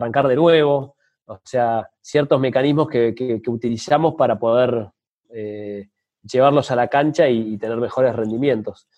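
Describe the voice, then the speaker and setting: Medium pitch from a man talking fairly slowly, with ordinary pitch variation. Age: 30s. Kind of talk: interview conversation. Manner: hesitant, many fillers.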